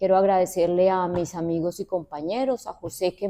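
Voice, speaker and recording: In a Colombian accent, a woman speaks at a moderate pace with a fairly low pitch and a dark, mellow tone. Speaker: university professor and researcher. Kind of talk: research presentation. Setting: auditorium event also streamed on video call.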